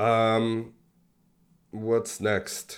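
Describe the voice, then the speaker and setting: Here a man talks at a medium pitch. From Mexico, born in Buenos Aires, Argentina. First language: Spanish. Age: 40s. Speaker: crypto software developer and investor. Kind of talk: casual interview conversation. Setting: video call.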